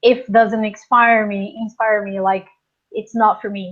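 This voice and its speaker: The pace is fairly slow, in a Portuguese accent. Intonation stays fairly even. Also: woman. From Portugal. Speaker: life coach. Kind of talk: interview.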